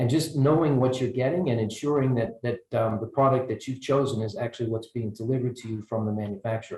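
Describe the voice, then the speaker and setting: Talking at a very fast pace, a man with an American accent has a somewhat breathy, dark, mellow tone at medium pitch. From United States. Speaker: energy researcher, panelist. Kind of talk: panel discussion. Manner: halting, many fillers and repetitions.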